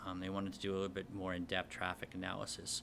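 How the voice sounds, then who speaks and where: A man with an American accent, a very deep, low pitch and a bright, sharp tone. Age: 40s. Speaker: business owner proposing a dispensary. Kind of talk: public meeting Q&A. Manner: halting, many fillers.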